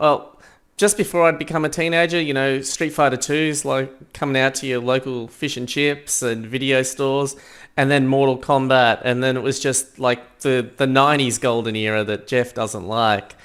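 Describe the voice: A man speaks at a moderate pace and a medium pitch with fairly even intonation. His tone is clear, smooth and fairly bright.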